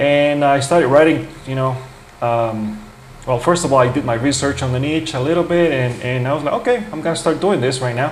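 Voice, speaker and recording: Fairly quick male speech in a fairly high pitch with ordinary pitch variation, plus audible room echo and noticeable background noise. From grew up mostly in the US, non-English-speaking origin. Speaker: YouTuber, blogger. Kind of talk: tutorial. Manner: casual, halting with restarts.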